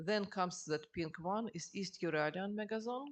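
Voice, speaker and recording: At a moderate pace, a woman with a Russian accent talks at a medium pitch with ordinary pitch variation. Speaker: geologist. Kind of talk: lecture. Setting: seminar with audience. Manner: halting.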